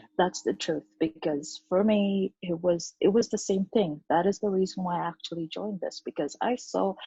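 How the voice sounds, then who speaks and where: A woman with a non-native accent speaks at a fairly low pitch, her tone dark and mellow, somewhat breathy, with fairly even intonation and a dry, close sound with no echo. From Uganda. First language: not English. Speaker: online business entrepreneur. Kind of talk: interview.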